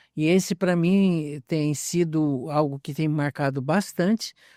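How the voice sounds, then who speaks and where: Dry and close with no echo on a very clean recording with a silent background, a man's dark, mellow voice shows ordinary pitch variation. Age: 70s. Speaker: pastor and missionary. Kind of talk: interview.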